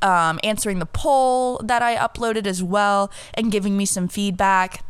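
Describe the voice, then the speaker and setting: A woman with a medium-pitched voice talks at a moderate pace in an animated tone, her pitch varying in an ordinary way. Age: 20s. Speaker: podcast host. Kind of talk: casual solo chat. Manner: animated, hyped.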